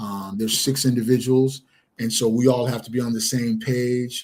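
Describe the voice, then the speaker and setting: A man's medium-pitched voice with an American accent, fairly even intonation and a moderate pace. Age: 60s. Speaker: special education teacher. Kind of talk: podcast interview. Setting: studio. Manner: hesitant, many fillers.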